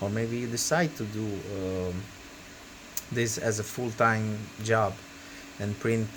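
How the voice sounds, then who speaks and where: A man with a non-native accent, fairly low in pitch, at a very slow pace with fairly even intonation and long, frequent pauses. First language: not English. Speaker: 3D printing hobbyist youtuber. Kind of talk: tutorial. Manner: hesitant, many fillers. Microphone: bad audio.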